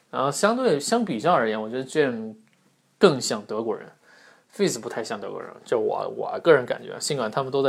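A man speaking at a fairly quick pace. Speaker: podcast host. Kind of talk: casual monologue. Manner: many filler sounds, hesitant.

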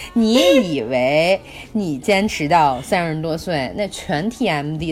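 Over noticeable background noise, a woman talks at a very slow pace with lively intonation and a fairly low pitch. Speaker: podcast co-host. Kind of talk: casual chat. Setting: remote recording from Myanmar. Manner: loud with loud laughter.

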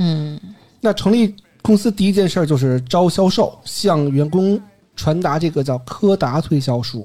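A man with a high pitch and a dark, mellow tone talks at a fairly slow pace with lively intonation. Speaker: podcast host. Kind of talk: casual storytelling chat. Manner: occasionally trips over words.

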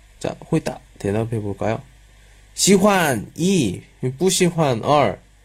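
With a fairly high pitch and vocal fry, a man speaks very slowly. Long, frequent pauses break up his very wide pitch swings. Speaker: Korean language teacher. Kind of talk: lecture. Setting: live stream with chat.

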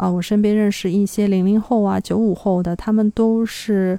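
In a very clean recording with a silent background and a dry, close sound with no echo, a woman with a medium pitch and a dark, mellow tone talks at a fairly slow pace with fairly even intonation. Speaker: podcast host. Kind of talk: solo podcast monologue. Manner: hesitant, many filler sounds.

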